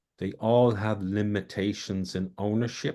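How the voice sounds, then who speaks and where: Here a man speaks with an Irish accent. His pitch is fairly low, with ordinary variation. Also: quiet background. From Ireland. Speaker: community project organizer. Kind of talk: self-introduction in online meeting. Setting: video call.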